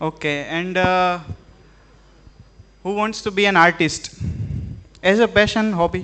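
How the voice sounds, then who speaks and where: A man with an Indian accent speaks in a high pitch at a fairly slow pace, with fairly even intonation and long, frequent pauses. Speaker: artist giving a live demo. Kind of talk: live tech demo to students. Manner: halting, many fillers.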